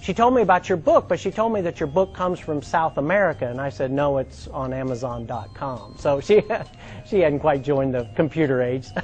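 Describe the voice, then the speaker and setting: Over music in the background, a man talks fairly quickly at a fairly high pitch with lively intonation. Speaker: stand-up comedian. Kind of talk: stand-up comedy set with host intro. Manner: conversational, storytelling, punchline delivery.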